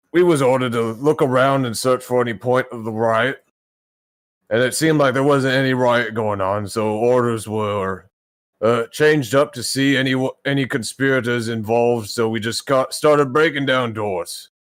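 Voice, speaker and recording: A man puts on a gruff character voice at a medium pitch. He keeps a moderate pace. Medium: actual play. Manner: blunt, gruff.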